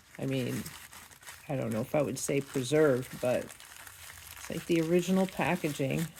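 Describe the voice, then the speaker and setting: A woman with ordinary pitch variation keeps a moderate pace against noticeable background noise. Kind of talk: casual talk to camera. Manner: chatty, humorous.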